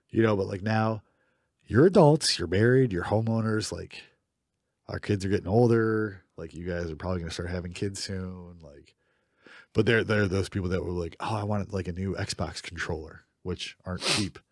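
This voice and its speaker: In a very clean recording with a silent background, a man talks in a normal speaking voice at a fairly low pitch, with big swings in loudness. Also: ordinary pitch variation, moderate pace. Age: 30s. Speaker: podcast co-host. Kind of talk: casual chat.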